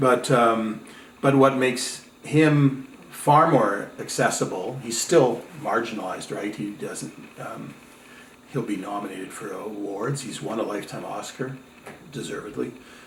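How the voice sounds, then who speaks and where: A man at a fairly slow pace with medium pitch, ordinary pitch variation, and big swings in loudness, amid audible room echo and noticeable background noise. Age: 60s. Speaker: filmmaker. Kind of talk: interview. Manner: halting.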